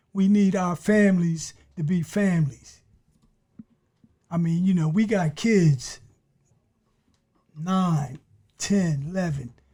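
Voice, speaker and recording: At a very slow pace, a man talks in a high pitch with a dark, mellow tone and ordinary pitch variation. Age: 60s. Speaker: former prisoner, community advocate. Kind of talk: interview. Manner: halting.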